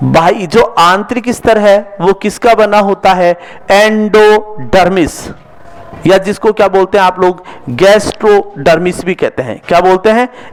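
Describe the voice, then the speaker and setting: A man with a high pitch and fairly even intonation, over noticeable background noise. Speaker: zoology teacher. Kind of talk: lecture. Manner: slow.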